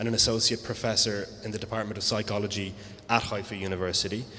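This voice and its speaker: Over noticeable background noise, a man with a fairly low pitch speaks in a monotone, flat intonation with an Irish accent. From Ireland. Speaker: panel moderator. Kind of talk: event introduction. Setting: live event with audience.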